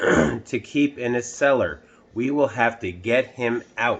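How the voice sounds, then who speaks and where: This is a put-on character voice with a raspy edge. It moves at a fairly slow pace. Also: man, medium pitch for a man. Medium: read story. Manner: firm, authoritative.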